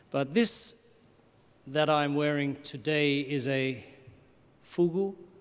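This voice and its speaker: In a room with audible echo, a man talks at a very slow pace with ordinary pitch variation. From Australia. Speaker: missionary priest. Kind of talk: conference talk.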